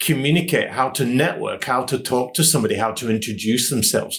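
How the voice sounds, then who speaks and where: With a British accent, a man speaks at a fairly quick pace in a somewhat breathy, fairly high voice with ordinary pitch variation. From England, Nottingham. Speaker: training and development consultant. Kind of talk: podcast interview.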